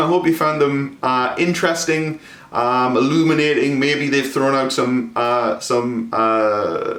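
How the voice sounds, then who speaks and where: A man at a fairly slow pace with very even loudness, audible room echo and noticeable background noise. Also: hardly any pauses. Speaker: historian. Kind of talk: lecture. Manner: halting, many fillers.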